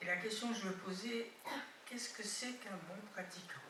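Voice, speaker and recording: There is audible room echo as a woman speaks with fairly even intonation. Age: 80s+. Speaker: retreat participant. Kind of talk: Q&A question from audience. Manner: halting.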